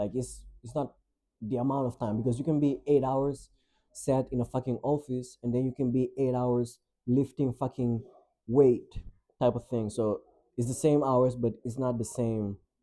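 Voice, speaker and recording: Speaking at a moderate pace with a non-native accent, a man keeps his medium pitch in a flat monotone with a dark, mellow tone. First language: not English. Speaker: vlogger and musician. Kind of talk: casual vlog monologue. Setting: home, in own room by window. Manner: casual, filler-heavy.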